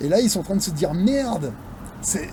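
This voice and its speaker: A man's fairly quick delivery carries lively intonation. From France, near the Swiss border. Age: 40s. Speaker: video blogger on investing. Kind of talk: casual monologue rant. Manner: animated, hesitant with many fillers.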